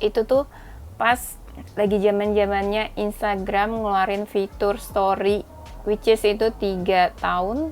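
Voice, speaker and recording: Very slowly and in a flat monotone, a woman talks with a medium pitch. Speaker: tarot reader. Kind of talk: casual chat to camera; tarot reading. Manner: casual, chatty.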